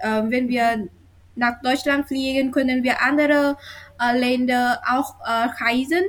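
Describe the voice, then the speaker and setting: Very slow and very even in loudness, a woman with a Vietnamese accent speaks in a high pitch. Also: fairly even intonation. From Vietnam, near Hanoi. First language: Vietnamese (speaking German). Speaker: university student of German. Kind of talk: reading aloud; casual interview. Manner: halting.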